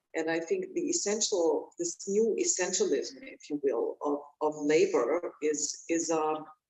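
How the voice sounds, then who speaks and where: Set against music in the background, the speaker talks at a fairly slow pace with a German accent and hardly any pauses. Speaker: author and researcher. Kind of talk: panel discussion. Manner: halting.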